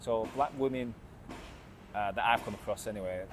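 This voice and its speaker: An English-accented man, his pitch varying in an ordinary way. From England. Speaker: vlogger. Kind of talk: casual vlog monologue. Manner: halting, many fillers and repetitions.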